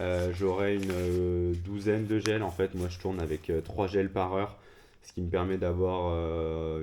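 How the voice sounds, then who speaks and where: Very deep and low, a man's dark, mellow voice moves at a moderate pace in a monotone, flat manner. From France, Lyon. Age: 20s. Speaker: amateur trail runner, vlogger. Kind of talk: casual vlog talk. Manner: hesitant, many fillers.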